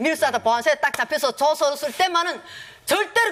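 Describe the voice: Speaking in a North Korean accent, a woman talks at a very fast pace. Her voice is high with lively intonation.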